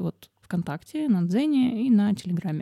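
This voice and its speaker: A woman with a dark, mellow tone is heard in a dry, close recording with no echo. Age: 30s. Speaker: writer and podcast host. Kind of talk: casual monologue. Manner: animated.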